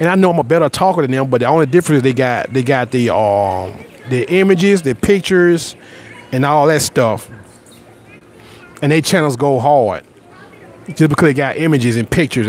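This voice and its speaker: An animated voice in a Southern US accent with lively intonation, long, frequent pauses and noticeable background noise. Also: man. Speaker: YouTuber. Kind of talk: casual live stream chat. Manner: repetitive stammering starts.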